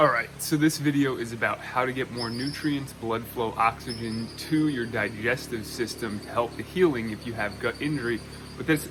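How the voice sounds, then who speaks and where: Music plays behind a man speaking at a moderate pace. His pitch is medium, with ordinary variation. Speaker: back pain and gut health coach. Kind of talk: casual talk to camera.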